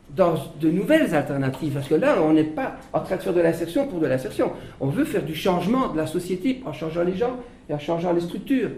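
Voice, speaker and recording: A man speaks at a fairly quick pace with a high pitch, lively intonation and an animated tone. Noticeable background noise and audible room echo fill the recording. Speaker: social enterprise leader. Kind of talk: panel discussion. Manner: halting.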